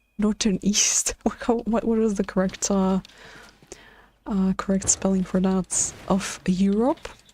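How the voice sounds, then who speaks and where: A quiet woman speaks at a medium pitch with a dark, mellow tone and fairly even intonation. She moves at a fairly slow pace with long, frequent pauses and very even loudness. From Latvia, Riga. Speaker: game streamer. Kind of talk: casual livestream chat. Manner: halting, stutters.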